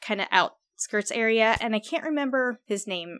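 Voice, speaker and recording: A woman with an American accent speaks in a bright, sharp tone on a very clean recording with a silent background. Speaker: true crime podcast co-host. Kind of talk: storytelling narration; casual chat.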